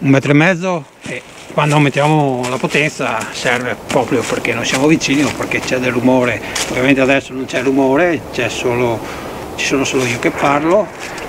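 A man speaks at a moderate pace while noticeable background noise runs underneath. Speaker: tech reviewer. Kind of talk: audio test commentary. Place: forest.

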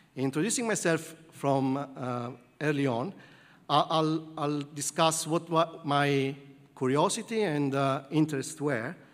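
A man with an Italian accent speaks at a fairly slow pace and a fairly high pitch. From southern Italy. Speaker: computer science professor. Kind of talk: lecture. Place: hall.

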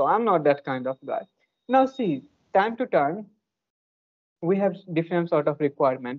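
A man with an Indian accent speaks at a moderate pace in a high pitch, with very wide pitch swings. He takes long, frequent pauses over a quiet background. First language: an Indian language. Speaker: English learner and youtuber; youtuber. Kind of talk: casual chat. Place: home room. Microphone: earbuds.

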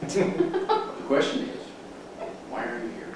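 A man speaks over noticeable background noise. Strong room echo fills the recording. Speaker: presenter. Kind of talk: lecture. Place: meeting room.

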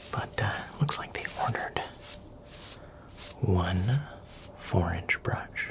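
A man speaks softly and very slowly over loud background noise. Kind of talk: soft-spoken roleplay chat. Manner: soft, quiet ASMR narration.

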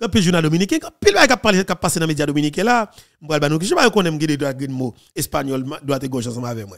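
Lively intonation marks this man's very fast speech. Nothing much is heard behind him. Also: big swings in loudness. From Haiti. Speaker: political news commentator. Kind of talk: news commentary. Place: studio. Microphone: studio mic.

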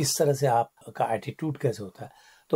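A man with a fairly high pitch and a dark, mellow tone sounds somewhat breathy in a dry, close recording with no echo. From Kumaon, Uttarakhand, India. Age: 60s. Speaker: filmmaker and former broadcaster. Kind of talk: radio interview. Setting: radio studio.

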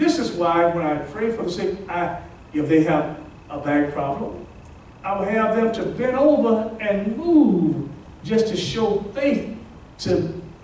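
A man talks at a very slow pace. Audible room echo and light background noise are present. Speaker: pastor. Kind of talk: sermon. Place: hall.

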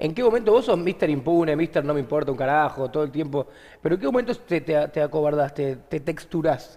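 A man with a Rioplatense accent talks at a fairly quick pace in a dark, mellow tone with lively intonation. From Argentina. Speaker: comedian and podcast host; comedian, podcast host. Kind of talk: casual chat. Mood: playful, joking. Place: studio.

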